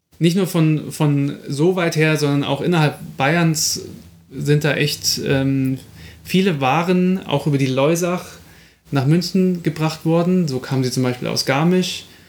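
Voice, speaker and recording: In a plain, everyday voice, a man talks at a fairly slow pace with fairly high pitch, fairly even intonation and very even loudness. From Munich, Bavaria. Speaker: podcast co-host. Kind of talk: casual chat; storytelling.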